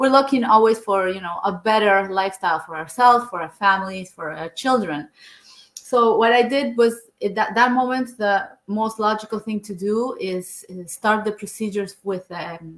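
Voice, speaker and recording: Speaking at a moderate pace with a Spanish accent, a woman with a fairly high pitch shows ordinary pitch variation and big swings in loudness. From Argentina. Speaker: engineer and online business owner. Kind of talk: interview.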